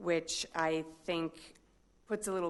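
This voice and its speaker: With a Midwestern accent, a woman talks in a fairly low pitch against a quiet background. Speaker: corrections official. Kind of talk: public comment. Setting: city council meeting.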